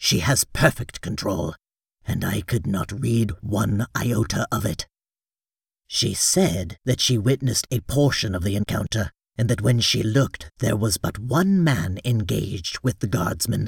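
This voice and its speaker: Using a put-on character voice, a man with a medium pitch speaks at a moderate pace with lively intonation, the sound dry and close with no echo. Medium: read story. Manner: formal, deferential, deliberate.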